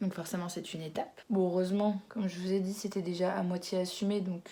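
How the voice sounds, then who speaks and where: At a very fast pace, a woman speaks in a flat monotone, her medium-pitched voice dark, mellow and somewhat breathy. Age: 20s. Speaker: YouTuber. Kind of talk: casual vlog chat. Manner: hesitant, with fillers.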